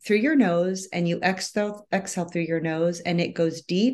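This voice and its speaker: A fairly slow pace over a quiet background. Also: woman. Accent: American. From US Midwest. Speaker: wellness coach. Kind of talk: casual interview chat.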